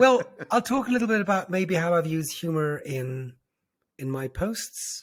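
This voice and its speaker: At a moderate pace, a man with a high voice for a man swings his pitch very widely. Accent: Irish. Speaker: brand strategist. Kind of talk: interview answer.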